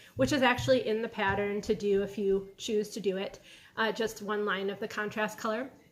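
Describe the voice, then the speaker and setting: Speaking at a fairly quick pace, a woman with a fairly high pitch has a slight Michigan accent. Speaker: knitting podcaster and yarn dyer. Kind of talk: casual video podcast. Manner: relaxed, casual with fillers.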